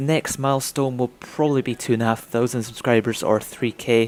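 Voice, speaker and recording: A man speaks in a Scottish accent at a medium pitch. His pace is fairly quick. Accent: soft Scottish. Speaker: gaming and racing YouTuber. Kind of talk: Q&A video monologue. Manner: casual, hesitant with fillers.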